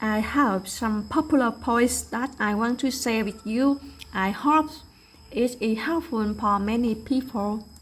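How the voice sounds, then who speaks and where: A woman's fairly high-pitched voice with a Vietnamese accent. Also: ordinary pitch variation. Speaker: English learner. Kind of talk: prepared presentation.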